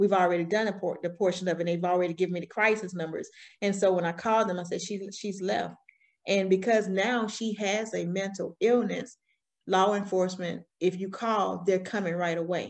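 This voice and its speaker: In a Southern US accent, a woman speaks at a fairly quick pace and a medium pitch against a quiet background. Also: fairly even intonation. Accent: Southern US, country. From Alabama, US South. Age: 40s. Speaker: guest, business owner and army veteran. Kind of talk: personal storytelling interview. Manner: candid, conversational.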